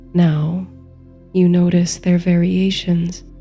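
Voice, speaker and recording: Music plays in the background as a woman speaks at a very slow pace. Her medium-pitched voice stays monotone and flat. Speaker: sleep story narrator and meditation guide. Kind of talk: sleep story, guided meditation narration. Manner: soft, slow, calming.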